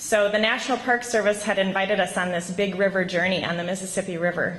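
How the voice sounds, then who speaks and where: Speaking with a Minnesota accent at a moderate pace, the voice shows ordinary pitch variation amid noticeable background noise. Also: woman. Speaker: teacher. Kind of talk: award acceptance speech. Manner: hesitant, many ums.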